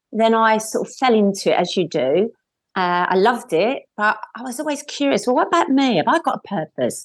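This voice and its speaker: At a fairly quick pace, a woman with a fairly high pitch makes very wide pitch swings in a very clean recording with a silent background. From East End of London. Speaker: life coach. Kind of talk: radio interview.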